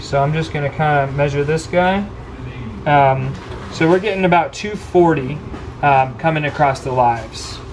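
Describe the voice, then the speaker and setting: A man talks at a moderate pace, his voice carrying audible room echo alongside noticeable background noise. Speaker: equipment technician trainer. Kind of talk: hands-on technical training. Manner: hesitant, many fillers; quiet.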